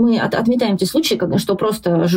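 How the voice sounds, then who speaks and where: With noticeable background noise behind her, a woman speaks with ordinary pitch variation. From Russia, Yelets and Voronezh. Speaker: journalist and blogger. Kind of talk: casual interview chat.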